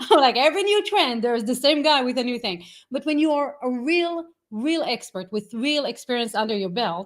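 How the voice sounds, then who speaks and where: In a very clean recording with a silent background, a woman with an Israeli accent talks at a moderate pace, her high voice making very wide pitch swings. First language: Hebrew. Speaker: AI marketing consultant. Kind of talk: interview. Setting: live stream.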